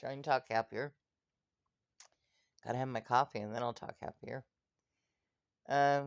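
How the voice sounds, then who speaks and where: Speaking at a moderate pace with long, frequent pauses, a woman with a very deep, low pitch keeps a monotone, flat intonation while her loudness swings widely, all in a dry, close sound with no echo. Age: 60s. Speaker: video blogger. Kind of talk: casual vlog monologue. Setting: in bed at home. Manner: halting, with fillers.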